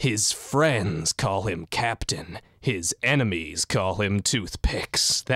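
A put-on character voice at a very slow pace. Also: man, fairly low pitch for a man. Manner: dramatic, epic.

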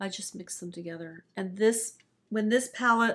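A woman talks with an American accent at a moderate pace. Her pitch varies in an ordinary way. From Florida. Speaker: music professor and beauty hobbyist; music professor. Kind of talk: casual chat. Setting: filmed in person together. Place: home room.

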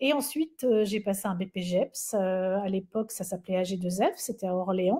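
A woman speaks in a dark, mellow tone that is somewhat breathy, with ordinary pitch variation. The background is quiet. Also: fairly slow pace. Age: 50s. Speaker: Pilates instructor and trainer; Pilates instructor, trainer. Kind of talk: webinar presentation. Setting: online webinar. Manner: animated. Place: home room. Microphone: webcam.

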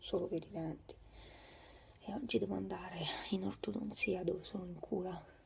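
A woman speaks in a whisper. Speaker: vlogger. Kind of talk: casual vlog chat. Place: home room. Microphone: phone near.

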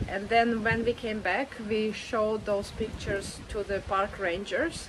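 There is noticeable background noise as a woman speaks at a fairly slow pace. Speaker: travel vlogger. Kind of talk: casual vlog chat. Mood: relaxed, chatty. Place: beach. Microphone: phone near.

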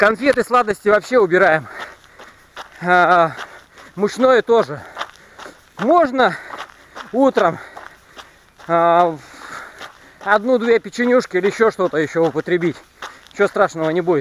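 Pausing long and often, a man talks fairly slowly in a high pitch with lively intonation, the sound dry with no echo and light background noise behind him. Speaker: fitness vlogger. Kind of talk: casual vlog chat. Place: forest. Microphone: phone near.

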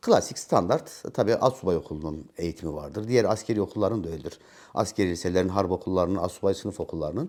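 A man's very deep, low voice races at a very fast pace. He leaves hardly any pauses, with ordinary pitch variation. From Central Anatolia, Turkey (Nevşehir village, then Ankara). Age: 50s. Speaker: retired gendarmerie NCO, counter-terror veteran. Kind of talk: interview. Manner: hesitant fillers.

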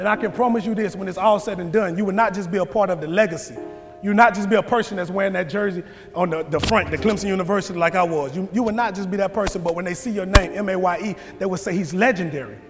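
Over clear music in the background, a man talks at a very fast pace in a high pitch with ordinary pitch variation. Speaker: motivational speaker. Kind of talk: motivational speech. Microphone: lapel.

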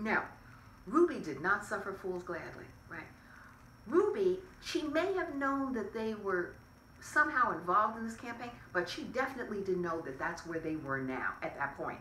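A woman with an American accent speaks at a fairly high pitch, her voice swinging very widely in pitch, with long, frequent pauses, light background noise and audible room echo. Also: moderate pace. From US Northeast (New York State). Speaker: civil rights activist. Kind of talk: oral history interview. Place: home room.

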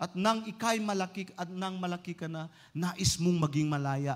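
The pace stays moderate. Intonation rises and falls in a lively way. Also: man. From Philippines. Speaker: pastor. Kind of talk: sermon. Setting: church. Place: church. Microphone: handheld.

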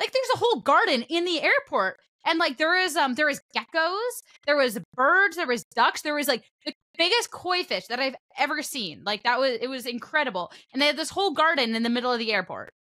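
At a fairly quick pace, a raised, projected voice with a bright, sharp tone makes very wide pitch swings over a quiet background. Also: woman, high pitch for a woman. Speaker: podcast host and esports commentator. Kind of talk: casual chat. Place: home room. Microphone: studio mic.

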